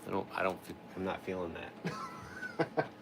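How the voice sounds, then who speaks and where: With music in the background, a man speaks with very wide pitch swings. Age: 40s. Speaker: chainsaw carver. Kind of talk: casual chat. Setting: livestream.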